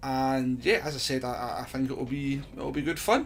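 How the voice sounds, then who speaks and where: A man with a Scottish accent talks at a medium pitch. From Scotland. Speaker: gaming streamer. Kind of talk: casual channel introduction.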